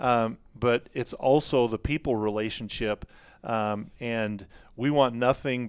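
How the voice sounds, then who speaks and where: On a very clean recording with a silent background, a man talks in an ordinary speaking voice at medium pitch with fairly even intonation. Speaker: outfitter company staff. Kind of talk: casual chat. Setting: studio.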